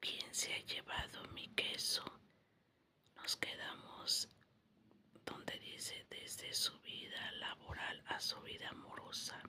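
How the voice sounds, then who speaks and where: Someone whispers at a very slow pace, with long, frequent pauses. Noticeable background noise sits behind the voice. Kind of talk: ASMR audiobook reading.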